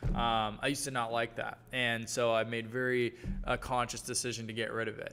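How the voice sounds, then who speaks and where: With a slight Southern US accent, a man talks at a fairly quick pace in a bright, sharp tone. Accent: slight Southern twang. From US South, Georgia. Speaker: brand coach. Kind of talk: live workshop Q&A. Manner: casual, filler-heavy.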